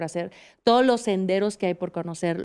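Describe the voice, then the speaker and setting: A woman talks in an unremarkable speaking voice at a medium pitch, with ordinary pitch variation. The recording is very clean, with a silent background. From Mexico, Aguascalientes. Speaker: podcast host and mountaineer. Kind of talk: interview.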